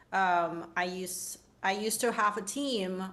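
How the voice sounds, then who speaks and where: In a room with audible echo, a woman with a non-native accent speaks at a medium pitch and with fairly even intonation. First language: not English. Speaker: designer and futurist. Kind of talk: panel discussion.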